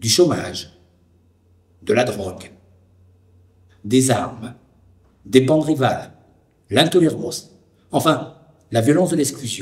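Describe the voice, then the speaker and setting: A man's fairly high voice with vocal fry, lively intonation and a fairly slow pace. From France, Lyon (Vénissieux suburbs). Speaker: documentary narrator and witness. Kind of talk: scripted narration. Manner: formal.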